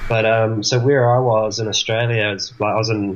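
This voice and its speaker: A man at a fairly quick pace, his intonation monotone and flat. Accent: New Zealand. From New Zealand. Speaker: traveling winemaker. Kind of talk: casual interview. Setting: video call.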